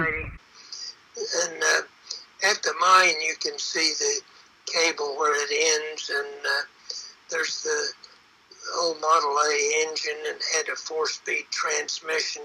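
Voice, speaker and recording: Very slow speech with long, frequent pauses over music in the background. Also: man. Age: 80s+. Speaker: retired gold miner. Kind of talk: guided tour narration.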